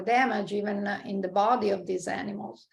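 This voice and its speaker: A woman speaks with a strong Italian accent at a medium pitch. Her pace is moderate and her intonation fairly even. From Italy. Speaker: marine scientist. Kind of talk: interview conversation. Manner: halting, many fillers.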